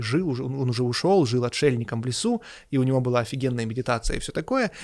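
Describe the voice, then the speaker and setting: A man speaks in an ordinary speaking voice at medium pitch and a fairly quick pace, with lively intonation, on a very clean recording with a silent background. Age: 30s. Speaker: podcast co-host discussing religion and philosophy. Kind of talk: casual discussion.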